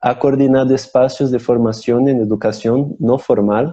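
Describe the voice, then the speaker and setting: A man speaks at a fairly slow pace with a Portuguese accent and fairly even intonation. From Brazil. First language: Portuguese (speaking Spanish). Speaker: theatre company member hosting online talk show. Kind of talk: live-streamed interview introduction. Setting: Instagram live stream. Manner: halting, repeats words.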